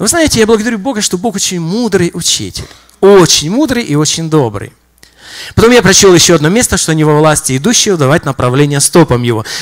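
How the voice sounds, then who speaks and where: Speaking at a very fast pace over a quiet background, a man with a high pitch makes very wide pitch swings. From Donbas, Ukraine. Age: 50s. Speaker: visiting preacher, church minister. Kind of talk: sermon. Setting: church. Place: church. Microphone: handheld.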